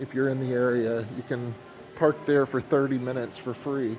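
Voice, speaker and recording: With an American accent, a man talks at a moderate pace and medium pitch, his intonation fairly even over noticeable background noise. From Oklahoma, Tulsa. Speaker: first amendment auditor, video blogger. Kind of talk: walking vlog narration. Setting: inside an airport, filming.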